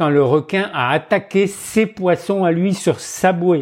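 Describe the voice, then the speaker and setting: The speech is very slow, with hardly any pauses and ordinary pitch variation. The recording is very clean, with a silent background. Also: man. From northern France. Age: 70s. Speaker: retired freediver. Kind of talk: life story interview.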